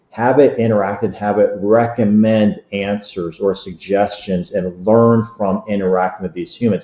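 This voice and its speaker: His voice sits at a fairly low pitch for a man. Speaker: technology expert presenter. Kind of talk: webinar presentation. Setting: online webinar. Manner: fast.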